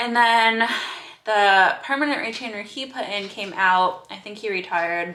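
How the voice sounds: Bright and sharp in tone, a woman speaks at a fairly slow pace with ordinary pitch variation.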